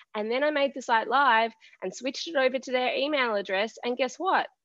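A woman's high-pitched voice with an Australian accent. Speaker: web designer. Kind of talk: casual chat. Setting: video call.

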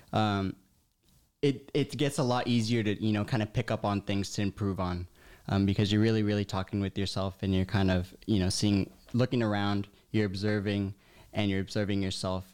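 This man has a plain, everyday voice with a fairly low pitch and fairly even intonation. He speaks at a fairly quick pace on a very clean recording with a silent background. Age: 20s. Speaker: scuba equipment technician. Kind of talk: casual chat.

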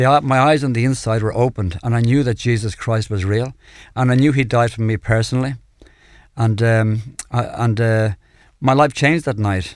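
A man with a Dublin accent talks at a fairly quick pace and medium pitch, with ordinary pitch variation, on a very clean recording with a silent background. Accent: Dublin Irish. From Ireland, Dublin (Clontarf). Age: 60s. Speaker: evangelist, former addict. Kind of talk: testimony. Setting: radio studio.

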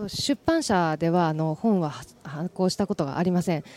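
Speaking at a fairly quick pace, a woman with a fairly low voice and a dark, mellow tone uses lively intonation, the sound dry and close with no echo. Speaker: illustrator. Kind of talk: interview.

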